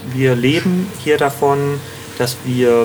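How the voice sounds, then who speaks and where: Noticeable background noise runs under this clip. A man speaks at a medium pitch with ordinary pitch variation. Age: 30s. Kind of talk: interview. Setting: on location at the community.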